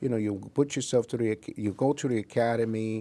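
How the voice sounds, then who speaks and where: Dark, mellow tone with a Spanish accent at a fairly quick pace. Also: man. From Puerto Rico. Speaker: investigator and scoutmaster. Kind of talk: interview. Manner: halting.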